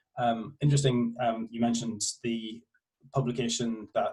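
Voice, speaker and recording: A man talks at a fairly quick pace with a Northern Irish accent. His voice is medium in pitch and somewhat breathy. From Northern Ireland. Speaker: university researcher. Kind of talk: academic presentation. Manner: halting, many fillers.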